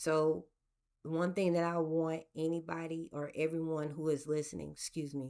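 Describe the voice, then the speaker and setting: A woman with a very deep, low pitch speaks in a monotone, flat intonation at a fairly slow pace in a very clean recording with a silent background. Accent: American. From US Gulf Coast. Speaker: podcast host. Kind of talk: solo podcast monologue. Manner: deliberately slow, drawn out; occasional stutter and repetitions.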